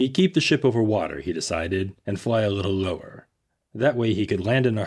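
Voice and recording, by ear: Someone reads aloud in a natural voice, pitch shifting in an ordinary way, with the background quiet.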